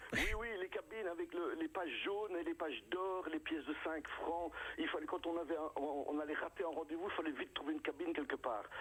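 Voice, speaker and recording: A man's high-pitched voice at a fairly quick pace, very even in loudness, over noticeable background noise. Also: ordinary pitch variation, hardly any pauses. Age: 60s. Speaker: comedian. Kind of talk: radio interview. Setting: phone call. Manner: animated.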